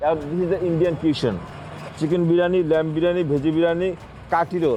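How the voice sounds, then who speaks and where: Over noticeable background noise, a man with a Bengali accent speaks at a very fast pace and a high pitch. His loudness is very even and his intonation fairly even. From Bangladesh. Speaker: street food vendor. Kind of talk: interview.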